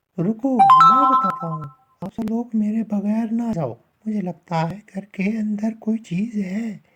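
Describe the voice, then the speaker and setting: A man puts on a whiny character voice, high in pitch. He keeps a moderate pace. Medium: cartoon. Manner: fearful, whiny.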